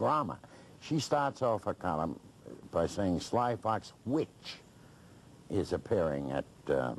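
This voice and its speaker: Over light background noise, a man with a very deep, low pitch for a man talks at a very slow pace with very wide pitch swings. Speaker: interview guest. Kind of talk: interview answer. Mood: indignant, mocking a critic. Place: studio.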